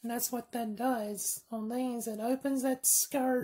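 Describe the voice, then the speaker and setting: A woman with an American accent speaks very slowly in a high pitch, her tone dark and mellow. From US South. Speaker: firearms video creator. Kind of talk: tutorial. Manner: rambling, casual.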